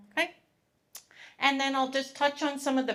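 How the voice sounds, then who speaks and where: A woman speaks with a Canadian accent. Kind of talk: public presentation. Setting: live event with audience, microphone. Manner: loud; animated.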